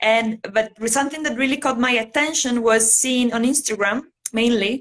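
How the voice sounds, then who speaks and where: This woman speaks with an Italian accent at a moderate pace. Her pitch sits fairly high, and her intonation stays fairly even. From Italy. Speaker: bullet journal artist. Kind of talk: casual interview chat. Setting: livestream video call.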